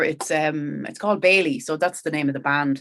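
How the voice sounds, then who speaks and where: A woman speaks with a Kildare Irish accent. Her pitch varies in an ordinary way. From Ireland, County Kildare (Sallins). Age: 40s. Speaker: country rock singer. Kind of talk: podcast interview, casual chat. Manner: animated, conversational.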